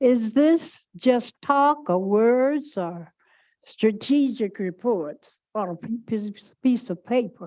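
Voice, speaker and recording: Against a quiet background, a woman with a fairly high pitch and a dark, mellow tone speaks at a very slow pace with lively intonation. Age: 80s+. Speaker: retired teacher, public commenter. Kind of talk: public comment at board meeting. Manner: loud.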